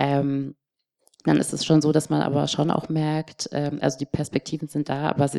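In a dry, close sound with no echo, a woman speaks at a moderate pace with a very deep, low pitch, a dark, mellow tone and flat, monotone intonation. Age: 30s. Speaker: panelist. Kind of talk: panel discussion. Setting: stage with audience.

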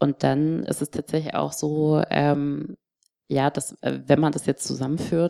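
A woman at a moderate pace, in a very clean recording with a silent background. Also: dry, close sound with no echo. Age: 30s. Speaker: panelist. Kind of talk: panel discussion. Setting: stage with audience.

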